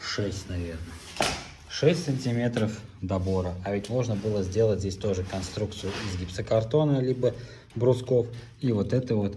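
A man's fairly low voice at a moderate pace, with long, frequent pauses, ordinary pitch variation and noticeable background noise. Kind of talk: tutorial. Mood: ironic, critical. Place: home room. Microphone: phone near.

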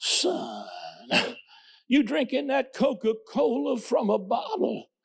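Putting on a character voice, a man pitches it extremely high. He speaks at a very slow pace. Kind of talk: preacher's sermonizing tone. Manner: stern, admonishing.

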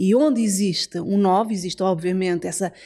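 A woman speaks at a medium pitch with a dark, mellow tone and ordinary pitch variation over a quiet background. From Portugal. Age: 40s. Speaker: numerologist; podcast guest. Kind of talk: casual chat. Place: home room. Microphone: studio mic.

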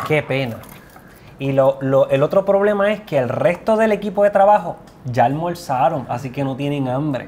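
Lively intonation from a man with a fairly high pitch, at a moderate pace over light background noise. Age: 40s. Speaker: nutrition show host. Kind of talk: cooking show chat. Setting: kitchen. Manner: animated. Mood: cheerful, joking. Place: kitchen.

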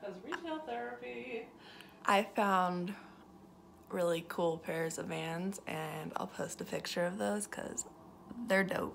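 A woman with an American accent speaks at a very slow pace, with long, frequent pauses. Light background noise sits behind her. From Nevada, US. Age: 20s. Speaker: vlogger with chronic illness. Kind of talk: casual vlog. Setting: in a car. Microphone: phone near.

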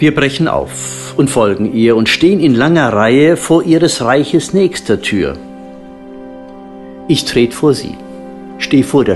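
A man talks fairly slowly. Background music can be heard behind him. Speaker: narrator. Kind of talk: audio drama narration, mystical poetic story reading.

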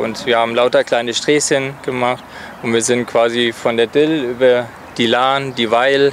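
Over faint background noise, a man talks at a moderate pace in a medium pitch, his voice moving little in pitch.

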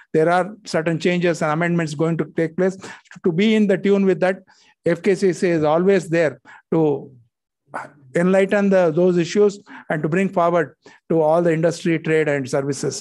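Delivered at a moderate pace with fairly even intonation, the speech sits over a quiet background. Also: man. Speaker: guest. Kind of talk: welcome speech. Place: hall. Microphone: podium.

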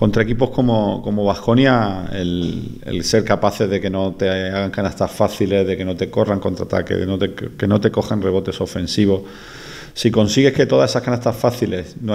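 This man has a dark, mellow tone and fairly low pitch. He talks at a moderate pace with ordinary pitch variation. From Andalusia, Spain. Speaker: basketball coach. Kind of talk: press conference answer. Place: meeting room. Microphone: podium.

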